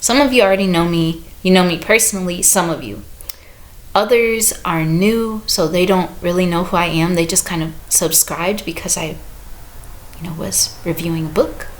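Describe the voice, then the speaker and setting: Amid noticeable background noise and audible room echo, a woman speaks at a moderate pace with an American accent. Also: fairly low pitch for a woman, ordinary pitch variation. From US Midwest, St. Louis. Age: 30s. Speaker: book reviewer and visual artist. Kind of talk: casual vlog talk to camera.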